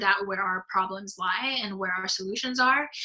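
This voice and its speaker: A woman speaks at medium pitch with a bright, sharp tone. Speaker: youth leadership advocate. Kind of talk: presentation. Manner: hesitant, many fillers.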